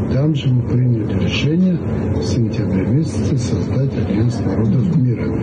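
Loud background noise accompanies a man who speaks at a moderate pace. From Tbilisi, Georgia. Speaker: organization president. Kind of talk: interview. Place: home room. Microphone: phone near.

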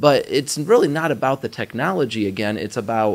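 The pace is rather quick. The speaker is a man. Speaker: IT trainer. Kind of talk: interview answer. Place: meeting room. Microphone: studio mic.

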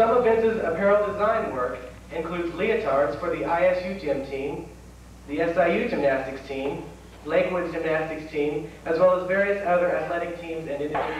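Fairly quick speech with audible room echo and light background noise. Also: man, high pitch for a man, ordinary pitch variation. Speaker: event host. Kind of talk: formal event introduction. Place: hall.

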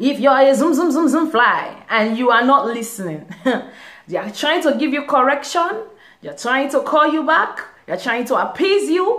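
Against a quiet background, a woman talks at a high pitch and a moderate pace with very wide pitch swings. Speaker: vlogger. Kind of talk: casual talk to camera. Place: home room. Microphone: phone near.

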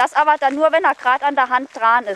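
With a Saarland accent, a woman talks at a very fast pace and a high pitch. The sound is dry with no echo, under light background noise. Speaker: dog trainer. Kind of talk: instructing a client during training. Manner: lively, engaged. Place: street.

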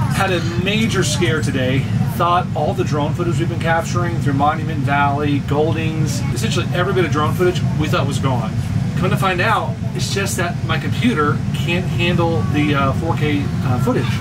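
With music behind him, a man keeps a moderate pace and his pitch varies in an ordinary way. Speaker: RV traveler vlogger. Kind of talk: casual vlog chat. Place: home room. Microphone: camera far.

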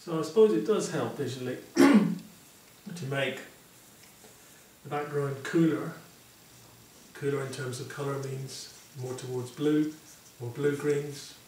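A man speaks at a fairly slow pace with long, frequent pauses. The room echo is audible, and there is light background noise. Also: ordinary pitch variation. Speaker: painting teacher. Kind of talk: tutorial.

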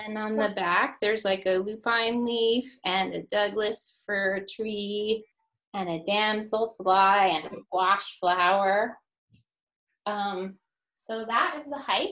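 A woman speaking at a very slow pace with fairly even intonation. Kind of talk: storytime read-aloud and chat with children. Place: home room. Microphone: webcam.

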